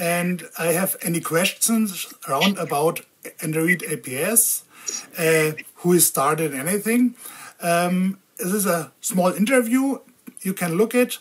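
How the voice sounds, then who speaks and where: In a German accent, a woman speaks at a fairly slow pace with lively intonation. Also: fairly low pitch for a woman. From Germany. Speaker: video blogger on diabetes tech. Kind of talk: interview. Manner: halting.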